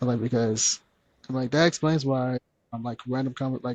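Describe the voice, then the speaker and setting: A soft-spoken man talks at a moderate pace and medium pitch. His intonation is fairly even, and the sound is dry and close with no echo. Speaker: podcast guest. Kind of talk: casual chat.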